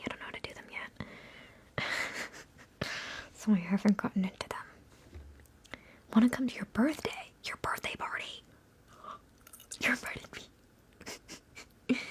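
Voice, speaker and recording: Whispering with long, frequent pauses, a woman's voice shows big swings in loudness. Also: moderate pace. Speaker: ASMR content creator. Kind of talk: ASMR livestream, casual talk to viewers. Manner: soft-spoken, whispery.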